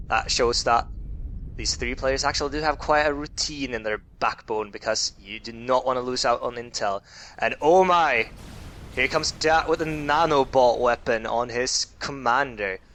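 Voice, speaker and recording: In a quiet setting, a man with a medium pitch and a bright, sharp tone speaks at a moderate pace with ordinary pitch variation. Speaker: game commentator. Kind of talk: game replay commentary.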